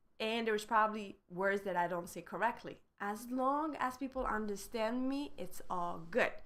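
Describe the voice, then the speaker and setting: A woman talks in a fairly high pitch with ordinary pitch variation. Her pace is moderate. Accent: French. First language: French. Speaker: French teacher. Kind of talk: live online lesson. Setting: live stream.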